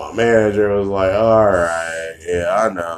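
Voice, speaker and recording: Fairly low in pitch with fairly even intonation, a man is heard on a very clean recording with a silent background. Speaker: podcast co-host. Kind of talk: casual chat. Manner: loud, voice carries.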